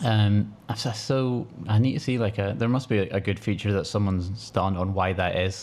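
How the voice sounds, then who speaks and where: With a Scottish accent, a man speaks at a fairly quick pace, his fairly low pitch carrying fairly even intonation and very even loudness. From Scotland. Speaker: podcast co-host. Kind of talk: casual chat.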